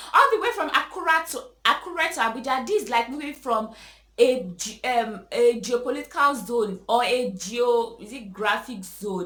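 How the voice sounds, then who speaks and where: Against noticeable background noise, a woman with a high voice speaks at a moderate pace, her intonation lively and her loudness swinging widely. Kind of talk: emotional rant to camera. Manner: hesitant, stammering; frustrated, exasperated.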